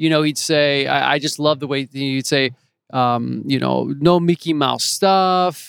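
A man talks at a fairly slow pace in a fairly high pitch, keeping his intonation fairly even. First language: French. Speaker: actor. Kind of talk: casual interview. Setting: in person at host's home. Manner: relaxed, conversational.

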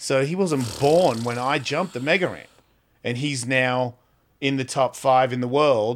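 With an Australian accent, a man speaks at a medium pitch. His pitch variation is ordinary. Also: fairly slow pace. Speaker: podcast host and comedian. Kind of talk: casual chat. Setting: studio.

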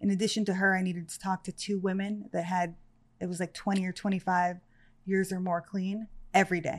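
Over a quiet background, a woman with an American accent speaks at a medium pitch and a fairly quick pace. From Los Angeles area, California. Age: 30s. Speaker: person in addiction recovery. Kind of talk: personal testimony in interview.

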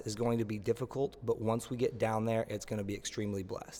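This is a man with an American accent. His pitch is medium. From Oklahoma, Tulsa. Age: 30s. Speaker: personal trainer. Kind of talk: interview. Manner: enthusiastic.

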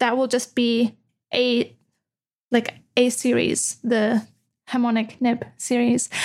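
A high-pitched woman's voice at a fairly slow pace, flat and monotone in intonation. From Austria. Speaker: goldsmith and nib specialist. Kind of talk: casual interview chat. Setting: video call.

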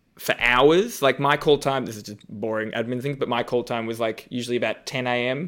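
A man's bright, sharp voice at medium pitch, with an Australian accent and a moderate pace. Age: 30s. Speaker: comedian and drag show judge. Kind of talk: casual chat.

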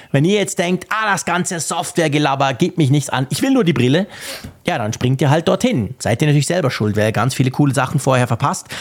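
A man talks fairly quickly in an ordinary speaking voice, his intonation lively. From Switzerland. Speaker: podcast host. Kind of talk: casual chat.

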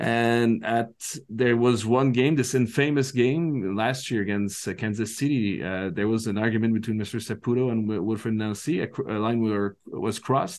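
A man in a Quebec accent, medium in pitch with ordinary variation, at a moderate pace with hardly any pauses, over a quiet background. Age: 40s. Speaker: soccer commentator. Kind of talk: casual chat. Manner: halting.

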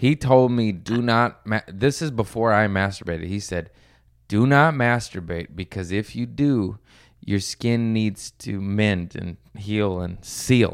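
An ordinary speaking voice: a man with a fairly low pitch and ordinary pitch variation. He talks at a fairly slow pace on a very clean recording with a silent background. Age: 30s. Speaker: stand-up comedian. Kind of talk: casual chat.

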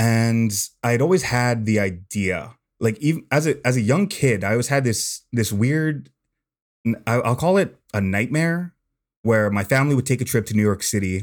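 A man speaks in a plain, everyday voice at a medium pitch and a moderate pace, with lively intonation. His loudness stays very even, and the recording is very clean with a silent background. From California. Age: 20s. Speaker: long-distance walker. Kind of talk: casual interview.

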